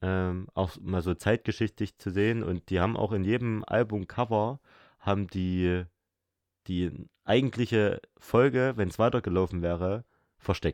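An ordinary speaking voice from a man, fairly low in pitch, with fairly even intonation over a quiet background. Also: fairly slow pace. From Saxony, Erzgebirge. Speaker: podcast co-host. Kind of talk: casual chat.

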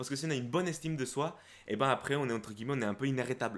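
A man talks at a very fast pace. His medium pitch has ordinary pitch variation. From Guatemala, moved to France at 12. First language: Spanish (speaking French). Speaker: YouTuber, self-confidence coach. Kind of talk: casual interview chat.

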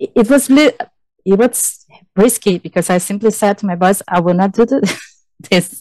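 In a Brazilian accent, a woman with a dark, mellow tone and medium pitch speaks at a fairly slow pace with ordinary pitch variation and long, frequent pauses, the sound dry and close with no echo. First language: Portuguese. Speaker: forest engineer. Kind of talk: interview.

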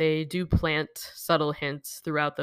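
A woman speaks with a very deep, low pitch. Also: very clean recording, silent background. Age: 30s. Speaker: podcast host, horror film reviewer. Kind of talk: solo film review monologue.

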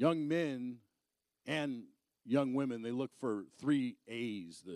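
Animated in tone, a man speaks with an American accent and lively intonation. The sound is dry and close, with no echo. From Arizona. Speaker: evangelist and motivational speaker. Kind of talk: sermon. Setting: church.

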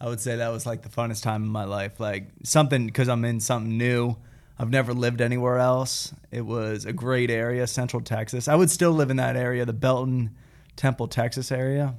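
A man with an American accent talks fairly quickly in a normal speaking voice. His pitch is medium and his intonation fairly even. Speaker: operations manager. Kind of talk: casual business chat.

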